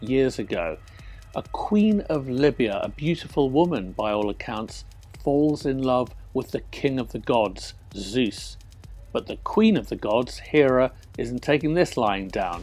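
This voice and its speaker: A man speaks at a fairly slow pace with a medium pitch. Music plays in the background. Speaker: TV investigative historian. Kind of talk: documentary-style history narration to camera.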